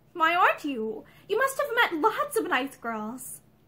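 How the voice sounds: A woman's put-on character voice, extremely high and bright, sharp in tone, with very wide pitch swings at a fairly slow pace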